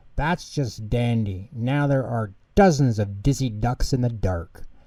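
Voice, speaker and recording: Doing a put-on character voice, a man keeps to a medium pitch. His delivery is fairly slow. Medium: read story.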